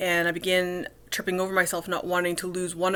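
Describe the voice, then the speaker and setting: At a fairly quick pace, a woman speaks in a medium pitch with monotone, flat intonation. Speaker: vlogger. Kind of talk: personal vlog monologue. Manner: cluttered, halting with repeated words.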